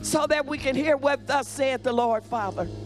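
Clear background music plays as a woman talks. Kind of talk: spoken prayer. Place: church. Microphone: handheld.

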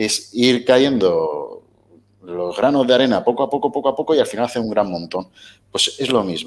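Vocal fry runs through this man's voice, and his intonation is lively. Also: moderate pace. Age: 30s. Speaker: weight-loss interviewee; interview guest. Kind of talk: casual interview. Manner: halting. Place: home room. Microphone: headset.

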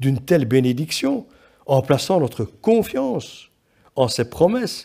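A man's dark, mellow voice at a fairly slow pace over a quiet background. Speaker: preacher. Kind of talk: sermon. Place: church.

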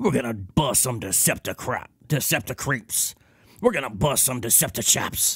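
Doing a put-on character voice, a man speaks raspily at a medium pitch and fairly slow pace with lively intonation. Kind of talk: casual livestream chat. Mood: playful, jokey.

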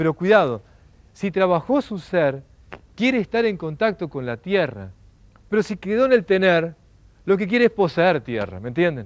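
A man speaks at a moderate pace in a high pitch. His pitch swings very widely. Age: 40s. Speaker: lecturer. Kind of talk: lecture. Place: garden. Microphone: lapel.

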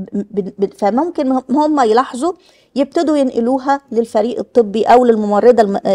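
At a moderate pace, a woman with an Egyptian accent speaks at a high pitch with a dark, mellow tone over a quiet background. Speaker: health official. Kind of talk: workshop presentation. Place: hall. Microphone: speaking without a microphone at times.

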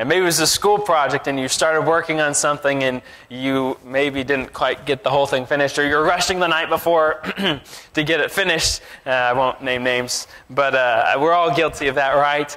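Fairly even intonation at a fairly quick pace, with very even loudness throughout. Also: man. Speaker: preacher. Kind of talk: sermon. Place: church. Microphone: lapel.

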